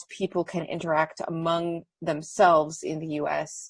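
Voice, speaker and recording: The speaker talks at a very slow pace in an American accent. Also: woman. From United States. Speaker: audience member. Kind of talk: audience question. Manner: hesitant.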